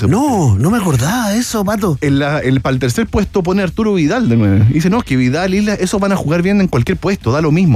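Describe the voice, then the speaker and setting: A man talks at a very fast pace with very wide pitch swings. Noticeable background noise is present. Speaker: football commentator. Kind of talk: comedic radio chat.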